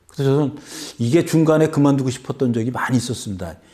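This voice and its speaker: A somewhat breathy man with a dark, mellow tone, a fairly high pitch and a moderate pace. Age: 60s. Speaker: author. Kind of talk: interview.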